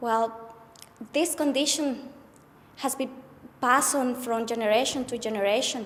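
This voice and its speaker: At a moderate pace, the speaker uses a non-native accent and fairly even intonation, with long, frequent pauses. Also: woman, high pitch for a woman. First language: not English. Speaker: abuse survivor sharing experience. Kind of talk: testimony. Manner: halting.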